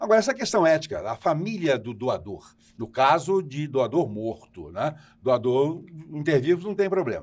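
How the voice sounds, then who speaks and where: A man speaks at a moderate pace in a fairly high pitch. His pitch swings very widely. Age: 70s. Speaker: tv host. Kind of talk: tv interview. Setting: remote broadcast from New York.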